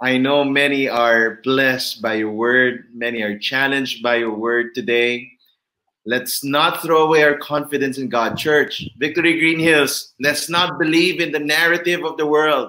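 A man talks at a moderate pace with fairly high pitch and ordinary pitch variation. He has an unremarkable speaking voice. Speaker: church pastor and author, host of online service. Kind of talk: interview introduction, church online event.

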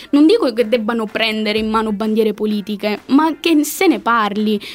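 A woman with a fairly high voice and ordinary pitch variation talks over noticeable background noise. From Calabria. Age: 20s. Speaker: political science student. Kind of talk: casual chat.

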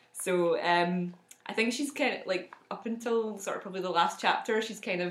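A woman at medium pitch with a slight Scottish accent, fairly even intonation and a moderate pace. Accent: mild Scottish. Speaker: podcast co-host.

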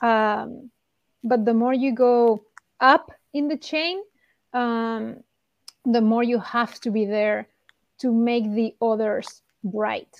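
Speaking very slowly with a Spanish accent, a woman keeps a fairly high pitch and fairly even intonation, leaving long, frequent pauses against a quiet background. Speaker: sports performance director. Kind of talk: interview.

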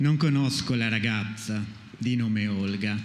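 A man talks at a very slow pace in a medium pitch, with fairly even intonation. Noticeable background noise and audible room echo surround him. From Friuli, Maniago. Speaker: poet and publisher. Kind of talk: poetry reading.

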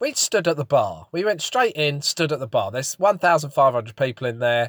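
A man has a plain, everyday voice, fairly high in pitch, with lively intonation at a fairly slow pace. The sound is dry and close, with no echo. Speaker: podcast co-host. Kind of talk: casual chat.

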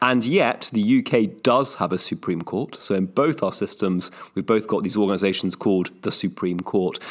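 Here is a man with a plain, everyday voice, fairly low in pitch and showing ordinary pitch variation. He speaks at a fairly slow pace on a very clean recording with a silent background. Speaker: podcast host. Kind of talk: casual podcast discussion.

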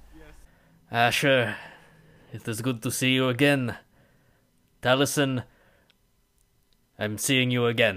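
Putting on a character voice at a medium pitch, a man speaks fairly slowly with long, frequent pauses. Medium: actual play. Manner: gruff, dry, curt and grumbling.

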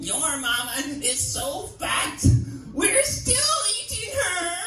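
A put-on character voice speaks at an extremely high pitch and a very slow pace. There is slight echo and loud background noise. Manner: demonic.

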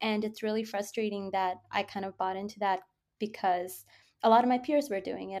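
Over music in the background, a woman talks at a moderate pace with a medium pitch and fairly even intonation. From Bangladesh, raised partly in the Middle East. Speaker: crypto researcher. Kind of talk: interview.

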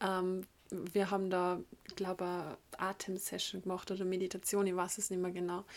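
A woman's voice sits at a medium pitch, captured in a very clean recording against a silent background. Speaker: podcast host, yoga teacher and spiritual coach. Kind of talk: solo podcast monologue. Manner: casual, with frequent filler sounds.

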